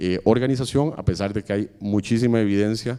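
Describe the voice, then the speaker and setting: A man speaks with a dark, mellow tone. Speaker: architect and urban policy official on a panel. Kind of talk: panel talk. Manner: fast; hesitant fillers (eh, digamos).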